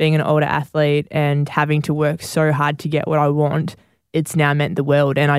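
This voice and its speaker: The delivery comes at a moderate pace in an Australian accent. Intonation is monotone and flat, and loudness stays very even. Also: woman. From New South Wales, Australia (Campbelltown, Bargo). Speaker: professional netball and football player. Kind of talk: interview.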